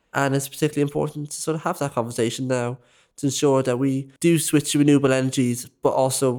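A man with a Dublin accent speaks at a very fast pace in a medium pitch. His intonation is monotone and flat, and the recording is very clean with a silent background. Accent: Dublin Irish. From Ireland, west Dublin. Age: 20s. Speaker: youth volunteer podcaster. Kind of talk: casual discussion.

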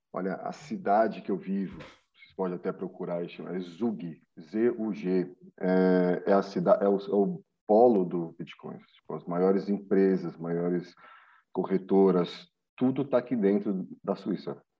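In a normal speaking voice, a man talks at a fairly slow pace with a fairly low pitch and fairly even intonation. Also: big swings in loudness. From São Paulo, Brazil. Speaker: personal trainer and crypto investor.

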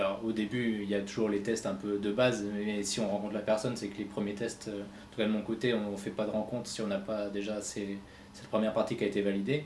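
Echo is audible in the room as a man talks at a very fast pace. His voice is fairly low, with monotone, flat intonation. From France, Reims. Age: 30s. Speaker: web entrepreneur. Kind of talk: interview.

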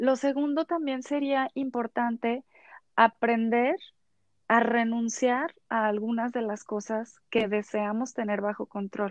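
A woman talks at a very slow pace with a fairly high pitch. Her pitch varies in an ordinary way, the sound is dry and close with no echo, and the background is quiet. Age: 30s. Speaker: psychologist. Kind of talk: expert interview.

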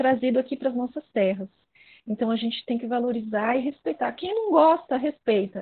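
A woman speaks with a high pitch. She talks fairly quickly, with ordinary pitch variation. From São Paulo city, Brazil. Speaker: viola player and musician. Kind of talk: interview conversation.

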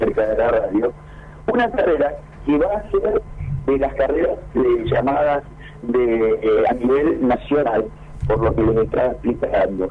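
Moderately paced male speech over music in the background. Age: 60s. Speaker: veteran cyclist and race organizer. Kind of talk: radio interview.

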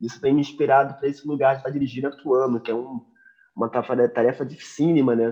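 This man talks very fast at a medium pitch. His intonation stays fairly even. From Rio de Janeiro (Madureira), Brazil. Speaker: jazz pianist. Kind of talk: casual interview.

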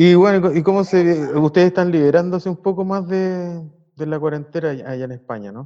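A man with a Chilean accent, high pitch and ordinary pitch variation, a dark, mellow tone and big swings in loudness. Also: moderate pace. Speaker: podcast host. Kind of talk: casual chat. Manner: halting.

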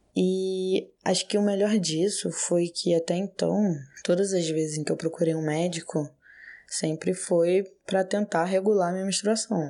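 At a fairly slow pace, a woman talks in an ordinary speaking voice, medium in pitch with fairly even intonation. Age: 20s. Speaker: patient sharing experience. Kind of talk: personal testimony.

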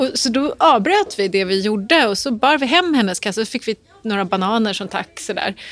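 Over noticeable background noise, a woman talks at a fairly quick pace with a fairly high pitch and lively intonation. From Stockholm, Dalen. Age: 40s. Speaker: author and journalist. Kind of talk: interview.

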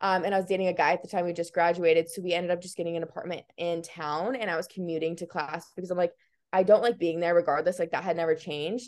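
A woman with an American accent and a fairly low pitch at a very fast pace. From US Midwest, Iowa. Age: 20s. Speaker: fitness content creator and college student. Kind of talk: casual podcast interview. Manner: animated.

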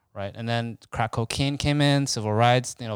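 In an ordinary speaking voice, a man talks at a moderate pace with medium pitch and fairly even intonation, recorded very cleanly against a silent background with a dry, close sound and no echo. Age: 30s. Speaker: podcast co-host. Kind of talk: casual chat.

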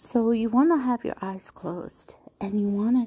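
This woman's voice has a dark, mellow tone, somewhat breathy, with ordinary pitch variation and a fairly slow pace. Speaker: spiritual podcast host. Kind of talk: casual instructional monologue. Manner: gentle, calming.

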